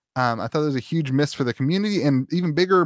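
A man with a fairly high pitch and ordinary pitch variation has an unremarkable speaking voice. The very clean recording has a silent background and a dry, close sound with no echo. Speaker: podcast host and content creator. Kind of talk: casual chat.

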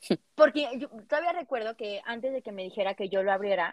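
A woman speaks at a fairly high pitch with ordinary pitch variation. She has an unremarkable speaking voice. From Mexico, Cuernavaca. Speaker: sexologist podcast co-host. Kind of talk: casual chat.

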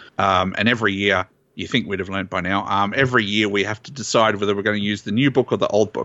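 With an Australian accent, a man speaks at a very fast pace. His fairly low voice keeps a fairly even intonation. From Australia, southeast Queensland. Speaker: tournament organizer. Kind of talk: casual chat.

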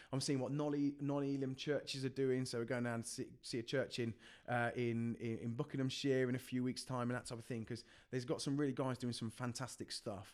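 A man with a West Midlands accent talks at a fairly quick pace, his medium pitch held in a monotone, flat intonation. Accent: Coventry English. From English Midlands, Coventry. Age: 20s. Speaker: youth worker. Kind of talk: podcast interview.

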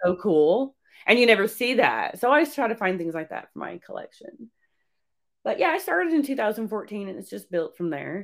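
A woman speaks at a fairly quick pace and fairly high pitch, with very wide pitch swings and vocal fry. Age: 40s. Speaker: horror collectibles shop owner. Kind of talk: casual interview.

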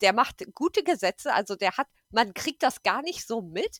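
A woman's voice with very wide pitch swings. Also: dry, close sound with no echo. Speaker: podcast guest. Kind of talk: casual political chat. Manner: hesitant, many fillers.

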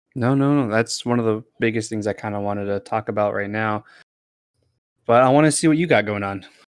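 The man has an unremarkable speaking voice at a fairly low pitch. He talks at a fairly quick pace with ordinary pitch variation. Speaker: podcast host. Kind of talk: casual chat. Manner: joking, laughs often.

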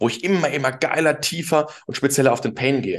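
With an animated tone, a man rattles off his words at a very fast pace. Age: 20s. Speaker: LinkedIn marketing consultant. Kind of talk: casual interview chat.

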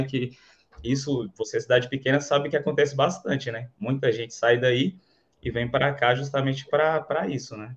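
A man talks in a somewhat breathy voice. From Bahia, Brazil (interior, Canarana). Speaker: affiliate marketer, electrical engineer. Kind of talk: casual interview, livestream.

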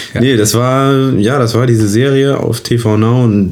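This is a man speaking. His delivery is very slow. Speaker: actor and podcast co-host. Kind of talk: casual chat.

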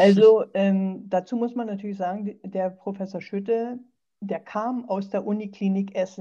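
This woman has a dark, mellow tone and a medium pitch. She talks at a moderate pace with monotone, flat intonation. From eastern Germany. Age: 60s. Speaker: sarcoma patient and patient advocate. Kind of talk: interview, personal story.

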